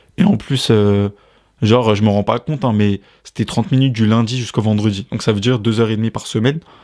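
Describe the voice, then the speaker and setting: A plain, everyday voice: a man at medium pitch, fairly quick pace and fairly even intonation, in a dry, close sound with no echo. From France. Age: 20s. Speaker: podcast host. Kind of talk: casual chat.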